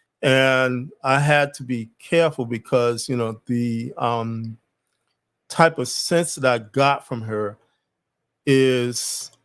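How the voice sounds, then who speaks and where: At a very slow pace, a man with a medium-pitched voice talks with fairly even intonation. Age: 60s. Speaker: channel host, men's issues commentator. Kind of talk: casual monologue livestream. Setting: solo test livestream. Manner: hesitant, many fillers and repetitions.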